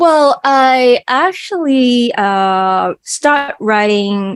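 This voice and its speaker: A woman with a strong Cantonese accent, in a dry, close sound with no echo. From Hong Kong. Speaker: singer and math educator. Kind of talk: interview.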